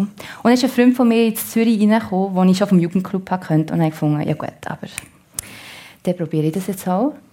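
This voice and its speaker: This voice carries a Solothurn accent and a dark, mellow tone, somewhat breathy. It moves at a fairly quick pace with ordinary pitch variation. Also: woman. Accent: Solothurn Swiss German dialect. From Switzerland, canton Solothurn. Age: 30s. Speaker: actress. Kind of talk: radio talk show interview. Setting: radio studio.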